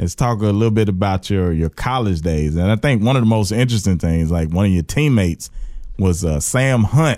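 A dark, mellow tone in an Alabama accent, with lively intonation and very even loudness, on a very clean recording with a silent background. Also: man, fairly low pitch for a man. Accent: US Southern (Alabama). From Birmingham, Alabama. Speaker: comedian and podcast host. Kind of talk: casual interview chat.

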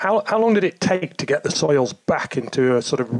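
A man speaks with lively intonation in an ordinary speaking voice. The sound is dry and close, with no echo. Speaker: podcast host. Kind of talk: interview.

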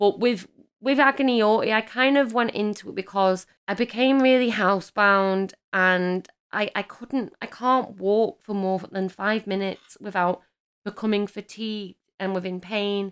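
With an English accent, a woman speaks at a moderate pace and medium pitch, her intonation fairly even, on a very clean recording with a silent background. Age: 30s. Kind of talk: casual chat.

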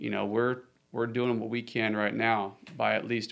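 A man's medium-pitched voice, fairly slow and fairly even in intonation. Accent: Texan. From Texas, Austin. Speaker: park ranger. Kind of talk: casual interview. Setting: on location at the lake.

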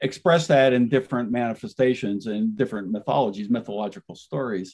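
An ordinary speaking voice from a man at medium pitch, fairly quick in pace, with lively intonation. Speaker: author. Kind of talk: interview.

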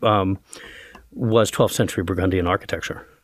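With an American accent, a man with an ordinary speaking voice talks at a fairly quick pace and fairly low pitch, keeping his intonation fairly even. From Brooklyn, New York. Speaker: art museum director. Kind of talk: interview.

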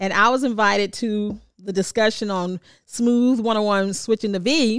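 Here is an ordinary speaking voice from a woman with an American accent, fairly high in pitch. The recording is very clean, with a silent background. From Washington, D.C. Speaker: radio personality. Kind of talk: casual chat.

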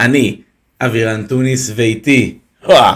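A bright, sharp tone at a fairly slow pace, with fairly even intonation. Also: man. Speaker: wrestling podcast host. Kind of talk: casual chat.

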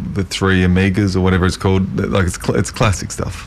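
There is noticeable background noise as a man speaks in a fairly low pitch. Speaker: community radio co-host. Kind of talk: casual, conversational. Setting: radio studio.

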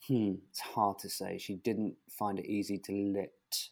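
A very slow pace and monotone, flat intonation in a very clean recording with a silent background. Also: man. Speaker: author. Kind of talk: interview. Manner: understated.

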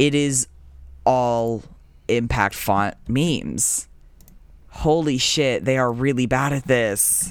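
A man of medium pitch speaks at a very slow pace with long, frequent pauses, very even loudness and ordinary pitch variation. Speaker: podcast co-host. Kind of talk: casual chat, comedic banter. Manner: joking, rambling, self-interrupting.

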